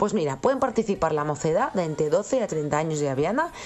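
A woman with a fairly low pitch speaks at a moderate pace with very wide pitch swings over noticeable background noise. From Laviana, Asturias. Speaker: radio contributor. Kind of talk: radio news segment.

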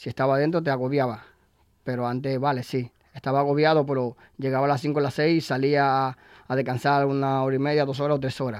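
Speaking very fast, a man uses a fairly high pitch and monotone, flat intonation. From Dominican Republic. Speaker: cider bar owner and cider pourer. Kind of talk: casual interview. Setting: radio studio.

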